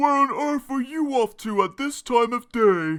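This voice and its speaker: A man uses a put-on character voice at an extremely high pitch and a moderate pace, captured on a very clean recording with a silent background. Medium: read story.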